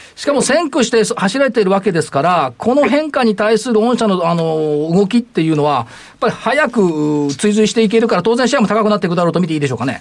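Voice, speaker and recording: A man with a high voice talks at a very fast pace, his pitch swinging very widely. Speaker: radio host and stock market commentator. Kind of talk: casual market commentary chat. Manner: fast, animated talker.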